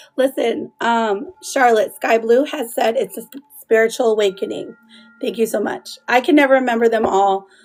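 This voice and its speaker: Music plays in the background while the speech moves at a moderate pace. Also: woman. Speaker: tarot reader livestreamer. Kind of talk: live stream chat with viewers. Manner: casual, chatty with fillers.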